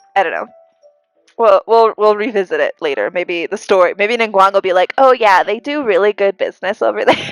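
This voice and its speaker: Music in the background under a woman's fairly quick pace. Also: dry, close sound with no echo. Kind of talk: live-stream gameplay commentary. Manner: casual, chatty.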